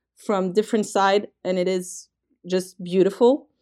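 A woman speaks with a French accent and a dark, mellow tone. The recording is very clean, with a silent background. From France. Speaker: trekking company representative. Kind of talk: interview. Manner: hesitant, frequent fillers.

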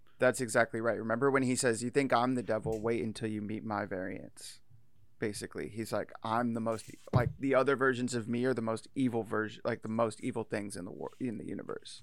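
A normal speaking voice moves at a fairly quick pace. Its intonation stays fairly even. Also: man, medium pitch for a man. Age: 30s. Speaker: podcast host. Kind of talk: casual chat.

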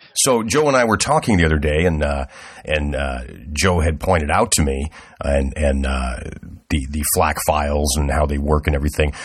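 Man's voice with very deep, low pitch and moderate pace, over noticeable background noise. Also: ordinary pitch variation. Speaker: podcast host. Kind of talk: casual chat.

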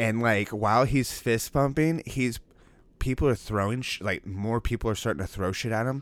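A man talks in an ordinary speaking voice with ordinary pitch variation. His pitch is medium and his pace is moderate. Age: 20s. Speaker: podcast co-host. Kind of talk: casual chat.

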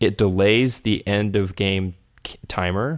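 A man's fairly low voice with fairly even intonation, an ordinary speaking voice, with an American accent. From Texas. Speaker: podcast co-host and gamer. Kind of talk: casual podcast chat.

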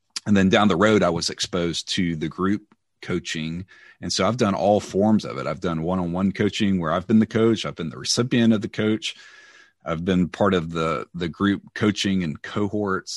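In a Southern US accent, a man talks with a very deep, low pitch and ordinary pitch variation. The sound is dry and close with no echo, over a quiet background. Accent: Southern American. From US South, Mississippi near Memphis. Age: 40s. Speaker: church leader. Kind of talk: interview.

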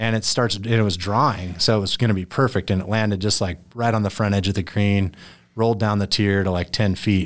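With an ordinary speaking voice, a man talks at a fairly quick pace with a fairly low pitch and fairly even intonation on a very clean recording with a silent background. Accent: American. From southern Idaho, US. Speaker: golfer. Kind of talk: interview. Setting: studio.

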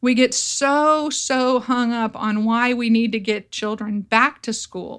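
A woman with an American accent, fairly high-pitched, at a very slow pace with fairly even intonation, on a very clean recording with a silent background. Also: hardly any pauses. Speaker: educator and podcast host. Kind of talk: solo commentary podcast.

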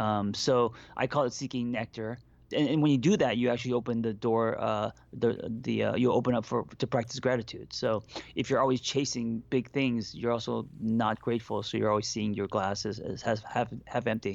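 The man's voice sits at a medium pitch and has vocal fry. He keeps a moderate pace and fairly even intonation. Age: 40s. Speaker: therapist and life coach. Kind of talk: casual chat.

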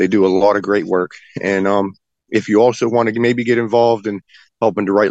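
A man's very fast, monotone, flat delivery in an Appalachian accent at a fairly low pitch. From West Virginia. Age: 40s. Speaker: political defendant and activist. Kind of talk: interview.

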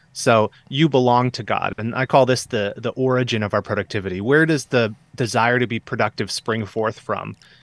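Recorded very cleanly against a silent background with a dry, close sound and no echo, a man with a Midwestern American accent speaks at medium pitch and a moderate pace, with fairly even intonation and hardly any pauses. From US Midwest, Southeast Michigan. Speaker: author. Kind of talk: interview.

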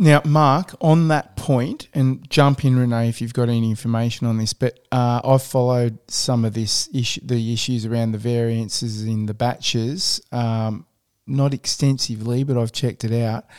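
With an Australian accent, a man speaks with hardly any pauses and fairly even intonation on a very clean recording with a silent background. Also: medium pitch for a man, moderate pace. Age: 50s. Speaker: podcast host. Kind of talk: interview.

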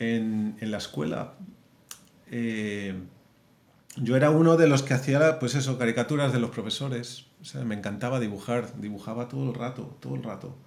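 His pitch medium and its variation ordinary, a man speaks at a moderate speed. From Madrid, Spain. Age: 40s. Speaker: film animator and director. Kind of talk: interview.

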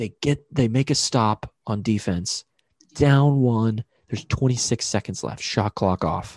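With an American accent, a man speaks at a fairly slow pace in an ordinary speaking voice, with medium pitch, ordinary pitch variation and a dry, close sound with no echo. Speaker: podcast host. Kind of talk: casual chat. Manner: rambling, joking.

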